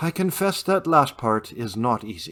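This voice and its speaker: A man's put-on character voice at medium pitch, very wide pitch swings, moderate pace. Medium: read story. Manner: dry, wry.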